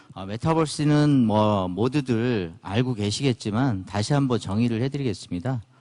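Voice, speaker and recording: A man's medium-pitched voice, dark and mellow in tone, with ordinary pitch variation, a moderate pace and hardly any pauses, over a quiet background. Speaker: company CEO giving conference talk. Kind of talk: conference lecture. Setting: conference stage with audience. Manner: hesitant, many fillers.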